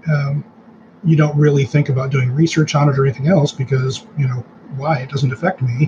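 Fairly even intonation and a fairly quick pace in an ordinary speaking voice. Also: man, fairly high pitch for a man. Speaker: guest, cancer patient's husband and caregiver. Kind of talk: casual interview.

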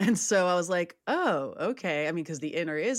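With a Californian accent, a woman speaks at a fairly low pitch with lively intonation. The recording is very clean, with a silent background. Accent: Californian American. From San Francisco, US West Coast. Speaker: life coach. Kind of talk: casual chat.

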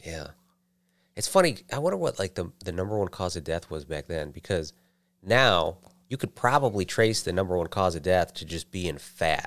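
On a very clean recording with a silent background, a man with a very deep, low pitch and ordinary pitch variation talks at a moderate pace. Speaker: podcast co-host. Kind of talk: casual chat.

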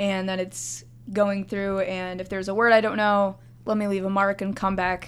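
A woman speaks in a normal speaking voice at a moderate pace. The recording is very clean, with a silent background. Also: medium pitch for a woman. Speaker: undergraduate student researcher. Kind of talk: casual interview.

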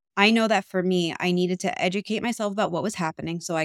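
A woman with an American accent talks very fast at a medium pitch with fairly even intonation. The recording is very clean and silent in the background, dry and close with no echo. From New York. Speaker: abuse recovery coach. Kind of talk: interview. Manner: loud.

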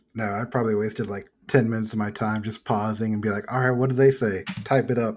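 In a normal speaking voice of medium pitch, a man talks at a fairly quick pace with hardly any pauses and fairly even intonation. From Texas. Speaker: podcast host. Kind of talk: casual chat.

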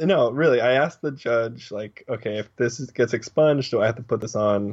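This man has a normal speaking voice at a medium pitch and keeps a moderate pace. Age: 20s. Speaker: podcast guest. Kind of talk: casual chat. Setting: video call.

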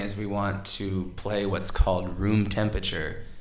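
There is noticeable background noise. A man talks with a fairly low pitch. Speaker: podcast host. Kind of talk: casual interview conversation. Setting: home, indoor with microphones.

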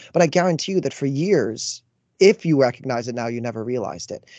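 A man with a normal speaking voice and a Canadian accent talks fairly quickly at a fairly high pitch with lively intonation against a quiet background. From Canada. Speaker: life coach. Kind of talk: casual chat.

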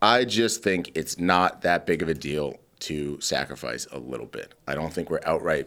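A man with a very deep, low pitch and vocal fry, moderate pace, very clean recording and silent background. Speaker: podcast host. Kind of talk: casual banter podcast chat. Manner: joking, irreverent.

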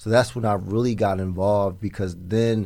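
This man has a normal speaking voice, fairly low in pitch, with an American accent. He talks at a moderate pace with fairly even intonation. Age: 40s. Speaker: app founder and political organizer. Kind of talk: casual interview.

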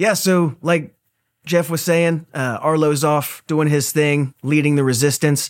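In a very clean recording with a silent background, a man with an ordinary speaking voice talks fairly slowly at a fairly high pitch, his intonation fairly even. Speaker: podcast host. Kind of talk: casual interview chat. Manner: relaxed, casual.

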